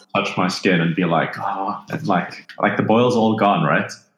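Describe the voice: Fairly slow, low-pitched man's voice with a fairly bright tone and ordinary pitch variation, in audible room echo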